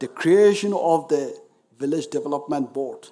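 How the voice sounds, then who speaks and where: A man's voice sits fairly high with a dark, mellow tone. His pitch varies in an ordinary way. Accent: Nagaland. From Nagaland, India. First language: Naga dialect. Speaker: speaker at memorial event. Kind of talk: formal commemorative speech. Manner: formal.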